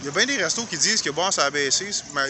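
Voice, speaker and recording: Over noticeable background noise, a man with a fairly high pitch talks at a very fast pace with ordinary pitch variation, the sound dry with no echo. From Quebec. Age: 50s. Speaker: YouTuber; vlogger visiting restaurants. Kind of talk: walking vlog commentary; casual vlog chat. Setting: outdoors. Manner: halting. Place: street. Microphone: phone near.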